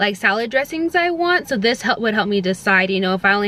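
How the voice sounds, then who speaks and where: A woman talks at a very fast pace. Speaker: lifestyle vlogger. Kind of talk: casual vlog talk to camera. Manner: many filler ums.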